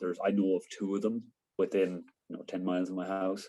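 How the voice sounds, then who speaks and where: With an Irish accent, a man speaks at a fairly quick pace in a fairly low pitch with a dark, mellow tone. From Ireland, County Sligo. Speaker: interviewee on Irish sports. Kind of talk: casual interview. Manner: hesitant, many fillers.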